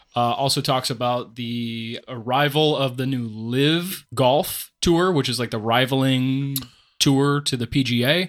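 An ordinary speaking voice from a man, fairly slow with fairly even intonation, in a very clean recording with a silent background. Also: medium pitch for a man. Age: 30s. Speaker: disc golf shop owner and co-host. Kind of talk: casual chat.

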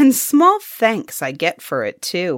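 A woman puts on a character voice, slow and fairly low in pitch. The tone is fairly bright, with very wide pitch swings. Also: very clean recording, silent background.

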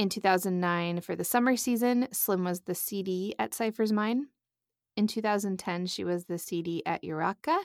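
On a very clean recording with a silent background and a dry, close sound with no echo, a woman with an American accent uses a normal speaking voice at a medium pitch, with ordinary pitch variation and a moderate pace. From Nebraska. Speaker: podcast host. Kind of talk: scripted podcast intro; casual interview chat.

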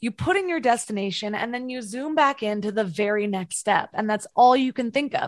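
A woman's normal speaking voice, fairly high in pitch, at a moderate pace with lively intonation against a quiet background. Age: 30s. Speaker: mindset coach and podcast host. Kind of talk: interview.

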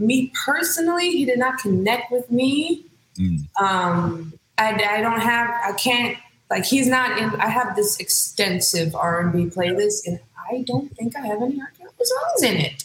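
A woman in a Californian accent speaks at a fairly slow pace with a fairly high pitch. Her pitch swings very widely, and there is noticeable background noise. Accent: Californian American English. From San Francisco Bay Area, Hayward. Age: 30s. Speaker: singer. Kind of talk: casual interview.

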